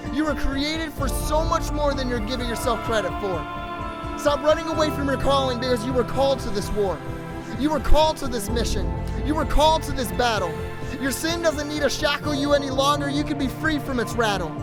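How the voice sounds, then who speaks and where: Over music in the background, a man speaks fairly quickly at an extremely high pitch, with very wide pitch swings. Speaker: pastor. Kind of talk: spoken word poetry performance.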